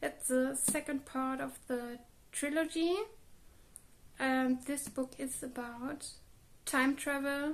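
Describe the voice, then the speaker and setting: A woman with a German accent and high pitch speaks very slowly in a monotone, flat intonation, leaving long, frequent pauses. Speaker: book vlogger. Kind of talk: casual video monologue.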